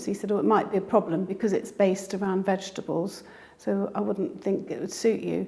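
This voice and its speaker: A woman talks at a fairly quick pace, medium in pitch. Her voice has vocal fry and ordinary pitch variation. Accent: British. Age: 60s. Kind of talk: interview answer.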